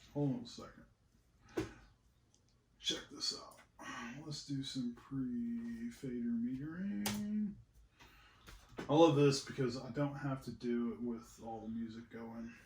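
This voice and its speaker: Soft-spoken and somewhat breathy, a man talks at a very slow pace with long, frequent pauses, medium in pitch with ordinary variation and big swings in loudness, amid audible room echo. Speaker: musician recording a cover song. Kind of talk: casual studio tutorial chat. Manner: quiet, asked to speak up.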